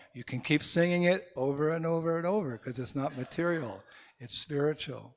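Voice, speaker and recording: A man speaks at a moderate pace with a Californian accent and ordinary pitch variation. The recording is very clean, with a silent background. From US West Coast, San Francisco. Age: old. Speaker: monk and spiritual teacher. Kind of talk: spiritual talk to festival audience.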